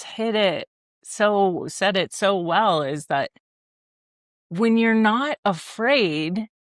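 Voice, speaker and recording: A woman's very slow speech with an American accent, fairly high in pitch with ordinary pitch variation, dry and close with no echo on a very clean recording over a silent background. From Ohio, US Midwest. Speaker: podcast host. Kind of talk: interview conversation.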